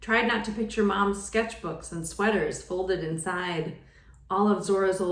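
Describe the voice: What's heard is plain reading aloud.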